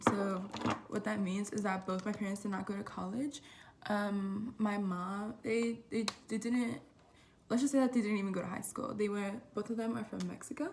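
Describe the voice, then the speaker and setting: A woman speaks at a medium pitch and a moderate pace. Her intonation stays fairly even, with noticeable background noise. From Southern California (Oxnard). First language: Spanish. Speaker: college student vlogger. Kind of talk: casual vlog talk. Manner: casual, hesitant with many fillers.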